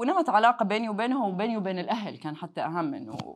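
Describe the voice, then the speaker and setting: A woman with a Hijazi accent speaks with lively intonation over a quiet background. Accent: Hijazi Saudi Arabic. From Jeddah, Saudi Arabia. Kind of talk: casual interview chat. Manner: code-switching between Arabic and English.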